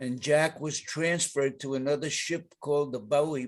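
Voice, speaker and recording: A man with a New York accent, fairly high pitch and fairly even intonation, at a fairly slow pace against a quiet background. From New York, the Bronx. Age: 90s. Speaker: war veteran. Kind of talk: reading aloud.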